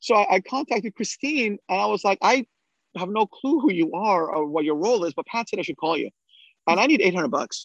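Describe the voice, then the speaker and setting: A man talks at a fairly quick pace in a high voice with lively intonation. The sound is dry and close with no echo, over a quiet background. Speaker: trauma surgeon, original podcast founder. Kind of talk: casual chat, anniversary reminiscing. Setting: video call. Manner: fast talker.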